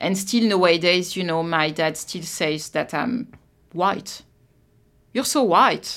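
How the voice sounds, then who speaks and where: Very slowly, a woman speaks in a fairly low voice with a French accent and ordinary pitch variation. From France, Versailles. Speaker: immigrant sharing life story. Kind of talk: interview. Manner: halting.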